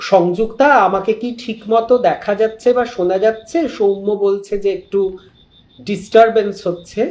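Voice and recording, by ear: Audible room echo surrounds a man's high-pitched, slightly mellow voice as he talks at a fairly slow pace with fairly even intonation.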